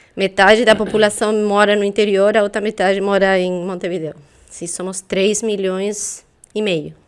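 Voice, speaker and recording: A woman with a Uruguayan accent speaks at a medium pitch and a moderate pace, her intonation monotone and flat. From Uruguay, south (Soriano, near Colonia). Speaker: intellectual property specialist. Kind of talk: interview.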